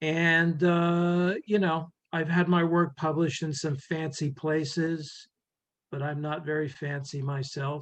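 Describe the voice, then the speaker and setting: Against a quiet background, a man talks at a fairly slow pace and fairly high pitch. He keeps a monotone, flat intonation. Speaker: poet. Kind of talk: poetry reading. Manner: halting, many fillers.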